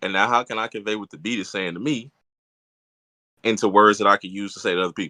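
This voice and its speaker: A man with an American accent and a fairly low pitch, very fast pace with long, frequent pauses, fairly even intonation, a bright, sharp tone and big swings in loudness, over a quiet background. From Louisiana, US South. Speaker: rapper. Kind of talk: interview. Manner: smooth.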